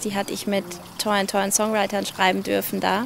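Fairly even intonation comes through a dry sound with no echo, over light background noise. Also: woman. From Switzerland, Basel area. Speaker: singer. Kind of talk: casual interview. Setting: livestream from a living room. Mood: relaxed, friendly, smiling. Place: garden. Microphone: handheld.

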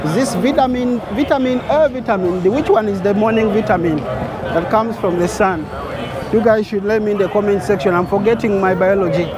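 Speech at a fairly quick pace comes through dry and echo-free, with crowd noise in the background. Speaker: travel vlogger. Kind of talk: casual vlog chat. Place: street. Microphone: phone near.

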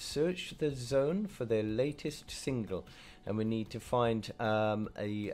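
A man at a very slow pace, faint music in the background. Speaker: gaming streamer. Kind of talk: gaming commentary. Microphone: headset.

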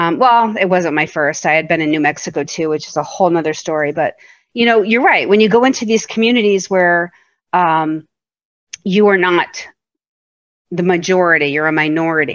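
Against a quiet background, a woman speaks in a plain, everyday voice at a moderate pace. Her pitch is fairly low, with ordinary pitch variation. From US Northeast (southern Vermont). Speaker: podcast co-host. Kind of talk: casual chat.

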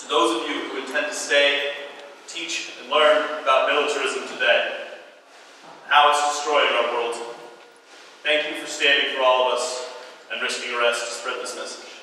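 Strong room echo and light background noise accompany speech at a moderate pace with long, frequent pauses. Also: man. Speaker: peace activist and Iraq war veteran. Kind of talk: eulogy-style tribute speech at a protest teach-in, solemn and remembering fallen soldiers. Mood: solemn, memorial tone. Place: hall. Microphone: camera far.

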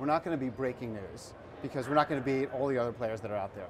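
Ordinary pitch variation comes through over noticeable background noise. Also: man. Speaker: guest. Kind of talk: interview answer. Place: studio. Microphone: lapel.

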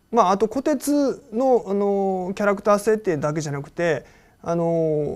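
The speaker is a man. His intonation is lively. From Japan. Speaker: anime producer. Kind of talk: interview. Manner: frequent filler pauses. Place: office.

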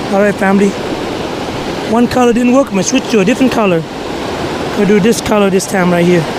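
Fairly quick speech from a woman with ordinary pitch variation, a dry sound with no echo and noticeable background noise. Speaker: fishing vlogger. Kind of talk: casual vlog chat. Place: waterside. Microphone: phone near.

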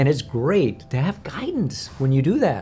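A man's voice, somewhat breathy, with a dark, mellow tone. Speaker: coach or speaker. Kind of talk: interview answer. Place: home room. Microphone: lapel.

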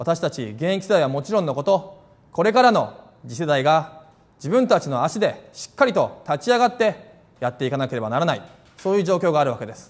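With a fairly quick pace, a man's high voice swings very widely in pitch and rises and falls sharply in loudness. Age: 30s. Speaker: politician, parliamentary candidate; politician, candidate. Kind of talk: campaign speech. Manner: formal. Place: cafe.

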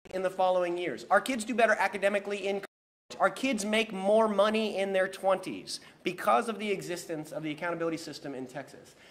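Over light background noise, a man speaks at a very fast pace. His pitch is high, with ordinary pitch variation. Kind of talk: press conference speech. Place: hall. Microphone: podium.

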